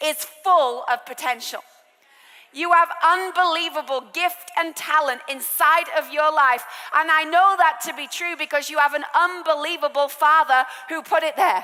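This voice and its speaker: A woman's raised, projected, high-pitched voice in an English accent at a moderate pace. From England. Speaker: preacher. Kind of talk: sermon.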